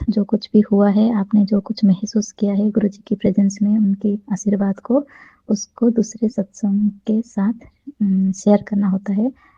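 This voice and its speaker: Medium pitch for a woman, a dark, mellow tone, somewhat breathy, monotone and flat in intonation, with a dry, close sound and no echo. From Odisha, India. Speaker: devotee sharing experience. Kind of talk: testimony.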